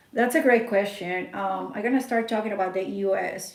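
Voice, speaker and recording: Amid noticeable background noise and audible room echo, a woman with a Spanish accent speaks at medium pitch with fairly even intonation. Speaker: network marketing distributor. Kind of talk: sales pitch.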